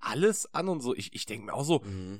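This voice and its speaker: Fairly quick speech from a man with very wide pitch swings. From Ruhr area, Essen. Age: 20s. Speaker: podcast co-host. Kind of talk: casual chat. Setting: video call.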